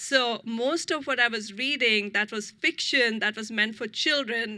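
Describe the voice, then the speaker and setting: On a very clean recording with a silent background, a woman with an Indian accent speaks fairly slowly at a fairly high pitch in a bright, sharp tone. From India, New Delhi. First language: Hindi. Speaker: author. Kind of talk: author talk.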